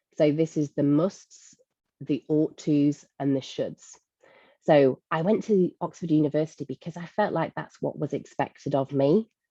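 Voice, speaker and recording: Speaking in a Lancashire accent, a woman uses a very deep, low pitch and a dark, mellow tone at a moderate pace with ordinary pitch variation, the sound dry and close with no echo. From northern England, Blackpool. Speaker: leadership coach and speaker. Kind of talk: webinar talk.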